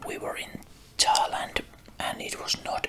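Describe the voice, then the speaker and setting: Someone whispers very slowly with a non-native accent. Noticeable background noise is present. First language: not English. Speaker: ASMR creator. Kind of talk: ASMR rambling about a collection. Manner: soft-spoken.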